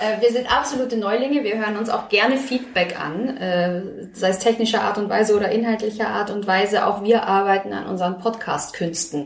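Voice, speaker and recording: Audible room echo and noticeable background noise surround a woman speaking at a moderate pace and medium pitch with ordinary pitch variation. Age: 30s. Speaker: podcast host, magazine journalist. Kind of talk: casual chat.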